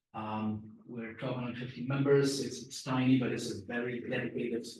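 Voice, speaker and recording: Fairly quick speech with fairly even intonation carries audible room echo. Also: man. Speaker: packaging technologist presenting. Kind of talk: conference presentation. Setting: press conference room with online audience. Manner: fast.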